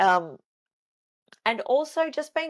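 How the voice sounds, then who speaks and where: A woman speaks with an Australian accent, her pitch swinging very widely. The recording is very clean, with a silent background. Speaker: fitness coach. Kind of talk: solo podcast talk. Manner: slow.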